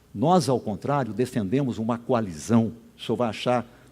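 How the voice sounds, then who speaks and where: The speaker is a man with a dark, mellow tone. He talks at a moderate pace. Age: 70s. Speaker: gubernatorial candidate, sociologist. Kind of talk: political debate answer. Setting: stage at public event with audience.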